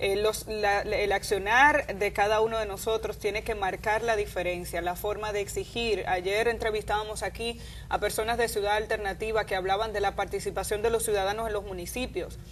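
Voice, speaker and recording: Fairly quick and with hardly any pauses, the voice has vocal fry and a monotone, flat intonation. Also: woman, medium pitch for a woman. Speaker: news commentator. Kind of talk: opinion commentary.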